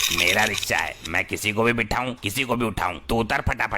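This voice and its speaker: Using a cartoonish character voice, a man speaks fairly quickly at a medium pitch, with fairly even intonation, very even loudness and clear background noise. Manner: blustering, rustic.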